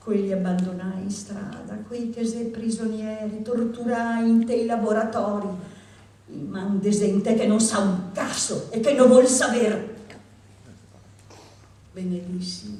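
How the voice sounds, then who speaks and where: Over noticeable background noise, a woman with a Venetian accent talks at a very slow pace, her fairly high pitch held in fairly even intonation. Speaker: poetry reader. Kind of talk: poetry reading. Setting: live reading.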